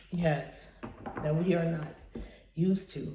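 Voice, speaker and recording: A woman speaks quietly in a room with audible echo. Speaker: tarot card reader. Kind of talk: tarot reading monologue. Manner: quiet, keeping voice down; hesitant, many fillers.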